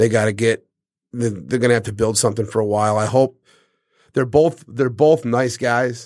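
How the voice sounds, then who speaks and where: A man speaks with an American accent at a medium pitch. His pace is moderate and his intonation fairly even, in a very clean recording with a silent background. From Detroit, Michigan (East Side). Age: 40s. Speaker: sports bar owner. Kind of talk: casual chat. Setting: studio.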